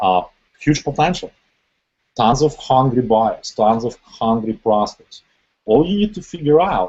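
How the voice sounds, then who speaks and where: This man talks at a fairly slow pace with a medium pitch. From Ukraine or Russia. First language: Russian or Ukrainian. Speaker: internet marketing trainer. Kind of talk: webinar training presentation.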